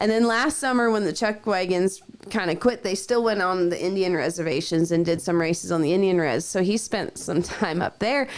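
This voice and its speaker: Over noticeable background noise, a woman talks at a fairly quick pace in an animated tone with ordinary pitch variation. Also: medium pitch for a woman, hardly any pauses, very even loudness. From Canada, Alberta. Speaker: rodeo trick rider. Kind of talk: casual interview chat.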